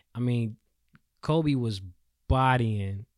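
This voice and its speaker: A plain, everyday voice from a man with an American accent, medium in pitch and fairly even in intonation, recorded very cleanly with a silent background and a dry, close sound with no echo. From North Carolina. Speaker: sports podcast co-host. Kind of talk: casual sports chat. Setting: studio.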